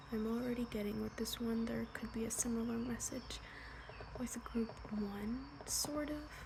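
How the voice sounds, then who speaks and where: A soft-spoken woman at a fairly slow pace, with noticeable background noise. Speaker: tarot reader. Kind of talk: ASMR tarot reading, soft-spoken guidance. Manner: soft-spoken, relaxing.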